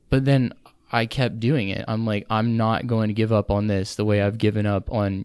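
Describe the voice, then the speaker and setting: A man talks in a normal speaking voice, fairly low in pitch with fairly even intonation. The recording is very clean, with a silent background. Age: 20s. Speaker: engineering student. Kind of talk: casual chat.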